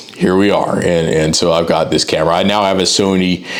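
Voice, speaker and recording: With fairly even intonation, a man speaks in a very deep, low pitch against noticeable background noise. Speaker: freelance graphic designer. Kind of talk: casual talk to camera.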